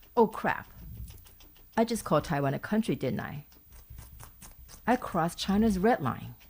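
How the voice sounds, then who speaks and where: A woman speaks at a moderate pace and medium pitch, with lively intonation and vocal fry. She takes long, frequent pauses. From Taiwan. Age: middle-aged. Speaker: YouTuber, political commentator. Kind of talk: casual talk to camera.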